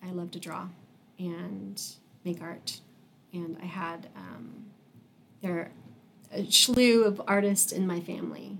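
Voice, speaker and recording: A woman with an American accent speaks at a fairly low pitch and very slow pace, with long, frequent pauses and ordinary pitch variation. Her loudness swings widely, and there is noticeable background noise. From Wichita, Kansas. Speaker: artist. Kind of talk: casual interview.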